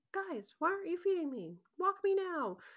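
This is a put-on character voice with an extremely high pitch and a whiny tone. It moves at a moderate pace. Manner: silly; whiny demanding.

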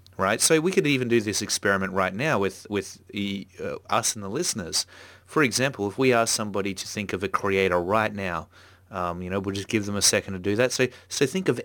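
With an Australian accent, a man speaks at a fairly quick pace, his fairly low pitch moving with ordinary variation. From Australia, Melbourne. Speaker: podcast host and comics art teacher. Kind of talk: casual chat. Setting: remote call. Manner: animated.

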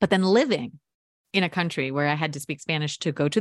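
A woman with a General American accent and an ordinary speaking voice talks at a fairly quick pace and fairly low pitch, recorded with a dry, close sound with no echo against a quiet background. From US Mid-Atlantic. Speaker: podcast producer and audio storyteller. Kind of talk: interview.

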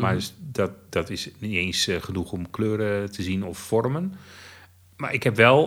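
A man's normal speaking voice, fairly low in pitch, with lively intonation and a fairly slow pace, on a very clean recording against a silent background. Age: 50s. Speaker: blind theme park fan. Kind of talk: interview.

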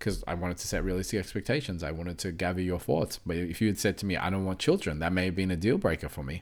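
In a very clean recording with a silent background, a man with a very deep, low voice talks at a very fast pace with hardly any pauses and ordinary pitch variation. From Australia, born in Mauritius, moved at four. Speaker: behavioral coach and podcast host. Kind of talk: casual chat.

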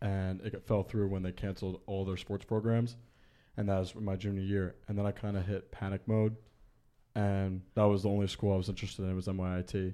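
With an American accent, a man speaks in a fairly low pitch with a dark, mellow tone and monotone, flat intonation, recorded very cleanly against a silent background. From Long Island, New York. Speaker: college baseball player. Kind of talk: casual interview chat.

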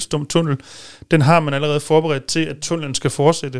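In a very clean recording with a silent background, a man with a normal speaking voice talks at a fairly quick pace, his fairly high pitch held in fairly even intonation. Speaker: policy consultant at a motoring organisation. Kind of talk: casual studio discussion. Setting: studio.

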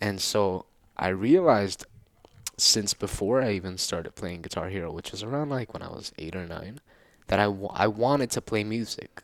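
This is an unremarkable speaking voice with ordinary pitch variation. Loudness swings widely while the pace stays moderate. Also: man, fairly low pitch for a man. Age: 20s. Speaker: musician, guitarist. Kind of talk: casual chat.

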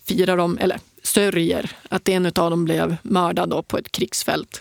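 A woman's ordinary speaking voice at a medium pitch and fairly slow pace, with a dry, close sound and no echo. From northern Sweden, Piteå. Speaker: ultrarunner and adventurer. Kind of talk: interview conversation. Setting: studio.

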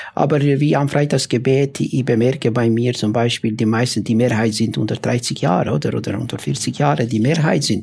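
A man at medium pitch with ordinary pitch variation, very even loudness, a moderate pace and hardly any pauses. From former Yugoslavia. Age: 50s. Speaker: imam. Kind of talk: panel discussion. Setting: live audience in a café. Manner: halting.

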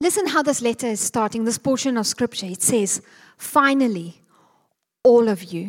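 In a very clean recording with a silent background, a woman has an unremarkable speaking voice at a fairly high pitch. She moves at a moderate pace with lively intonation. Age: 40s. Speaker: preacher. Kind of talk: sermon.

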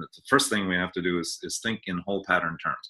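Very deep and low, a man's voice carries a bright, sharp tone and fairly even intonation. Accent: American. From US Northeast (Maine). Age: 60s. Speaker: author and bodywork educator. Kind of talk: interview. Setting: video call.

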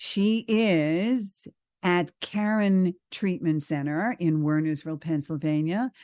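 Her dark, mellow tone carries a New York accent as this woman speaks. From New York, the Bronx. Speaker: radio host. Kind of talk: talk show interview.

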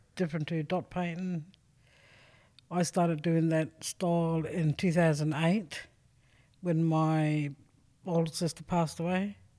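In a very clean recording with a silent background, a woman with an Australian accent talks at a fairly slow pace with long, frequent pauses, her fairly low voice dark and mellow in tone, her intonation monotone and flat, and her loudness very even. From South Australia. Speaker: artist. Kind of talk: interview.

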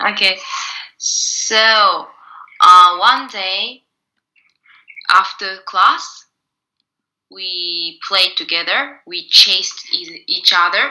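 Very slowly, a woman speaks, leaving long, frequent pauses. Her volume rises and falls sharply. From Japan. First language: Japanese (speaking French). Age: 20s. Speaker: actress. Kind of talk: casual chat. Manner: halting.

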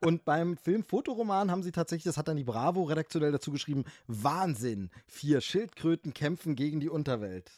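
A man's normal speaking voice, fairly high in pitch, with hardly any pauses, on a very clean recording with a silent background. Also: lively intonation, dry, close sound with no echo. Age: 40s. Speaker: film podcaster. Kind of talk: casual chat.

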